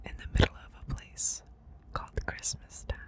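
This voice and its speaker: Whispered words from a woman, with noticeable background noise. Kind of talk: ASMR storybook reading to help sleep. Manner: whispered, soft.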